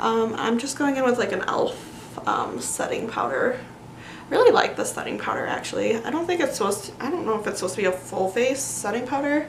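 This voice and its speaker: Noticeable background noise and audible room echo surround a woman who talks at a fairly quick pace. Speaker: beauty vlogger. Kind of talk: casual chat. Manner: soft-spoken.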